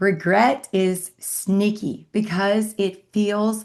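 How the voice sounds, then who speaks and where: A woman at a medium pitch and a very slow pace, over a quiet background. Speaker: faith-based divorce recovery coach. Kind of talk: motivational talk to camera.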